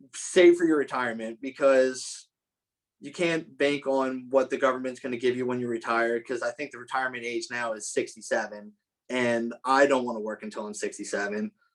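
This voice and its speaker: Speaking at a fairly quick pace, a man with a medium pitch shows ordinary pitch variation and big swings in loudness. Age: 20s. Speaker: welding shop supervisor. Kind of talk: career advice talk to students. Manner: casual, halting.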